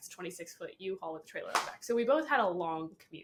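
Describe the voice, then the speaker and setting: A woman's voice amid noticeable background noise. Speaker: branding specialist, podcast co-host. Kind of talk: casual chat.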